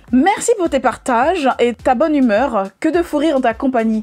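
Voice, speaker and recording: A woman speaks with high pitch and lively intonation. Noticeable background noise runs underneath. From Paris, France (Guadeloupean family). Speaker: YouTuber, natural hair vlogger. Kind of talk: Q&A vlog, casual chat. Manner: casual, jokey, with fillers.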